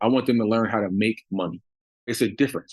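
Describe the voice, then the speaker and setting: A man with an American accent has a plain, everyday voice, medium in pitch, with fairly even intonation. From US Northeast, Long Island, New York. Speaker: business owner. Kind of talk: interview.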